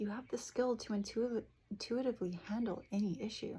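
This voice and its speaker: Soft-spoken, a woman talks at a moderate pace. Her intonation stays fairly even. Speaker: tarot reader. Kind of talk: tarot reading.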